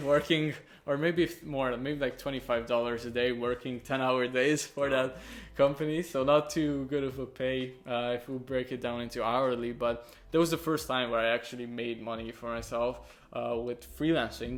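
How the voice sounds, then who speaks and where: A man at medium pitch and a moderate pace, with fairly even intonation and a Hungarian accent. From Hungary. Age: young. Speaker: young entrepreneur, video editor. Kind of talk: casual interview. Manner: hesitant, many fillers.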